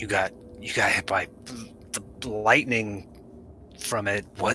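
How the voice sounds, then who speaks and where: Using a put-on character voice, a man sounds raspy at a fairly low pitch. He goes at a fairly slow pace over clear background noise. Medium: actual play. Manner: blunt questions.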